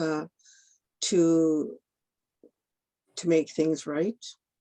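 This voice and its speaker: A woman speaks in a dark, mellow tone. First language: Ojibwe. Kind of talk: panel discussion. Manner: halting.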